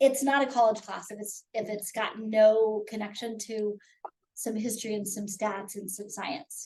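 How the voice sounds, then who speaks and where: At a moderate pace, a woman with a fairly high voice speaks with big swings in loudness. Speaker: college instructor. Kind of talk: pre-trip course meeting. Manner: animated.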